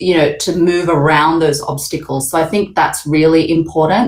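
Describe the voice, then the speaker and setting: With an Australian accent, a woman talks in a fairly low register. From Australia, Sydney. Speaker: panel moderator. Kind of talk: panel discussion.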